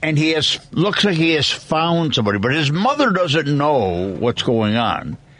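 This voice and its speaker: A man with a fairly high pitch, very wide pitch swings, very even loudness and hardly any pauses, amid noticeable background noise. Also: moderate pace. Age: 80s+. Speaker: radio host. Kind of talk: casual chat.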